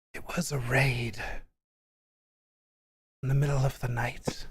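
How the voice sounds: A put-on character voice, breathy and raspy, low-to-middle in pitch at a fairly slow pace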